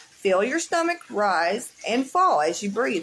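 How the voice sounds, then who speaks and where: Fairly high-pitched woman at a moderate pace, pitch swinging very widely, over noticeable background noise. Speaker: livestreamer sharing mental health resources. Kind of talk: casual live chat; guided breathing exercise read aloud. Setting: livestream.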